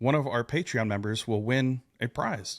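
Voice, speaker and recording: Speaking in a plain, everyday voice, a man keeps a moderate pace and ordinary pitch variation on a very clean recording with a silent background and a dry, close sound with no echo. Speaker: podcast host, woodworker. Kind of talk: casual podcast conversation.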